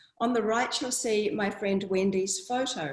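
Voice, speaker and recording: A woman speaks with a New Zealand accent. Her pitch is fairly high. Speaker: water researcher. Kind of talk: talk to an audience.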